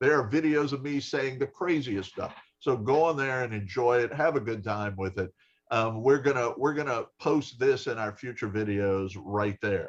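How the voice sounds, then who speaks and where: Against a quiet background, a man with an unremarkable speaking voice speaks at a moderate pace and medium pitch with ordinary pitch variation. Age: 60s. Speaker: health insurer live stream host. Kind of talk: live stream interview chat. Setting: Facebook live broadcast. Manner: casual, conversational.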